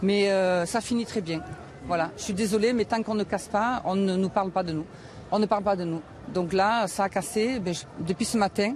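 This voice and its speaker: This woman's voice sits at a medium pitch with ordinary pitch variation. She speaks at a moderate pace. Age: 60s. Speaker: protester. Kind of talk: street interview. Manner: animated.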